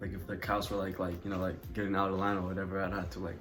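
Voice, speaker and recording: Through audible room echo, a man with an American accent speaks in a very deep, low, somewhat breathy voice with monotone, flat intonation. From Ethiopia. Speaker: YouTuber. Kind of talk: casual storytime vlog. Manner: casual, many fillers and hesitations.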